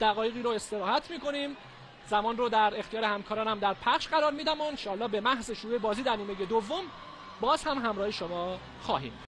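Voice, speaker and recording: With a Yazdi accent, a high-pitched man talks at a very fast pace with ordinary pitch variation over noticeable background noise. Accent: Yazdi Persian. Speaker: football commentator. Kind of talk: live commentary.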